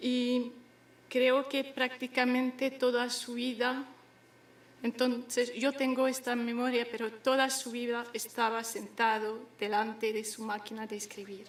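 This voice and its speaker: Speaking at a fairly slow pace, a woman with a high-pitched voice keeps her intonation monotone and flat while noticeable background noise runs underneath. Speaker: daughter of the late poet. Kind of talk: memorial speech. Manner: halting.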